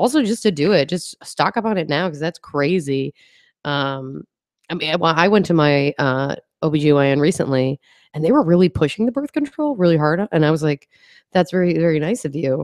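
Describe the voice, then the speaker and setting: The speaker has an American accent and an animated tone, moving at a fairly quick pace with ordinary pitch variation. The sound is dry and close, with no echo. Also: woman, very deep, low pitch for a woman. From Upstate New York. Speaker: stand-up comedian. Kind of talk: casual chat.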